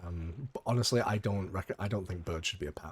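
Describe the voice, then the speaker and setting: Lively intonation marks this man's somewhat breathy voice, fairly low in pitch, in a British accent. The recording is very clean, with a silent background. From UK. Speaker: gaming YouTuber. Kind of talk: casual gameplay commentary.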